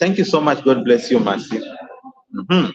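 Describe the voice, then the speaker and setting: A man speaks with a Kenyan accent. His pitch swings very widely. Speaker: YouTuber hosting a live stream. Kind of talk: live stream chat talk. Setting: live stream. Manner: halting, many fillers and repeats.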